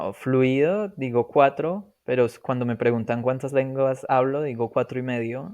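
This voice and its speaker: This man has an unremarkable speaking voice at medium pitch with ordinary pitch variation. He talks at a fairly slow pace with hardly any pauses. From Colombia. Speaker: polyglot, language learner. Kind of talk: podcast interview.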